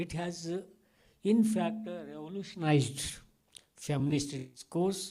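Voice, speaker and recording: A high-pitched man with a dark, mellow tone speaks fairly slowly with ordinary pitch variation and long, frequent pauses, in audible room echo. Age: 70s. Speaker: academic speaker at a conference. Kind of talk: conference plenary remarks. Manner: halting with many fillers.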